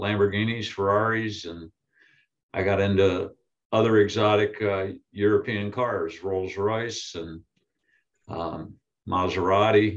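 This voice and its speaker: A man at a fairly slow pace, with long, frequent pauses and monotone, flat intonation, against a quiet background. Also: fairly low pitch for a man. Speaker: guest. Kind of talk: interview answer. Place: office.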